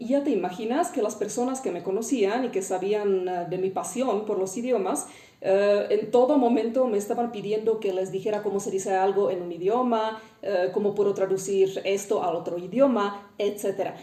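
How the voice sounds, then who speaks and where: With a Czech accent, a woman speaks at a moderate pace and medium pitch, hardly pausing, her pitch moving in an ordinary way amid audible room echo and noticeable background noise. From Czech Republic. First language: Czech (speaking Spanish). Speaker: linguist. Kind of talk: educational talk. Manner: frequent hesitations (eh).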